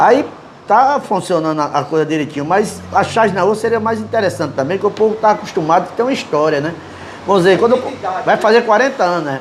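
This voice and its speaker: Over noticeable background noise and audible room echo, a man with a high voice talks very fast with lively intonation. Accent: northeastern Brazilian. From Brazil, Northeast (João Pessoa, Paraíba). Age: 60s. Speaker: cartoonist. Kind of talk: interview. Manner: halting.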